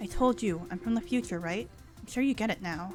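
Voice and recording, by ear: Over clear background music, a woman puts on a strained character voice, fairly high in pitch, with very wide pitch swings and a fairly quick pace.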